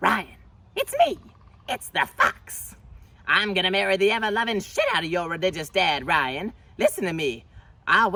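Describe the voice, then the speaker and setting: Someone does a put-on character voice at a middle pitch. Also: moderate pace. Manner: scheming, teasing.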